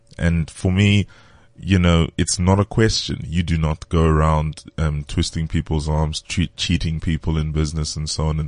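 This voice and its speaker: Against a quiet background, a man talks in a very deep, low pitch with fairly even intonation. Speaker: business leader and worship leader. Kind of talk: casual chat.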